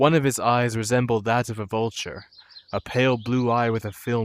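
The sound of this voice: This is an unforced reading voice. Nothing more is noted.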